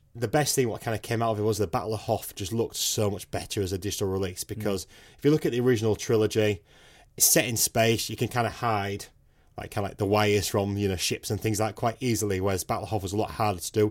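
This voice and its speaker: Speaking at a very fast pace, a man with a British accent keeps a fairly low pitch and fairly even intonation. The recording is very clean, with a silent background. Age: 30s. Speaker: podcast co-host. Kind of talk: casual chat.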